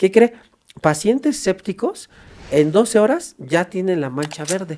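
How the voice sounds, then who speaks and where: A man's dark, mellow voice sits at a high pitch and moves through very wide pitch swings. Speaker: forensic doctor. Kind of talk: podcast interview. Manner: fast.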